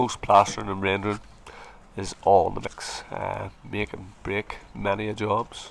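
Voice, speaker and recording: This man has an American accent. His pitch is very deep and low. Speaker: plasterer and video tutor. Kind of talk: tutorial.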